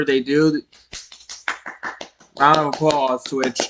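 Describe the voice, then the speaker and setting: A man talks with a New York accent at a moderate pace. His pitch sits fairly high. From New York City. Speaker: streamer. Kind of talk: casual live-stream commentary. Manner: animated.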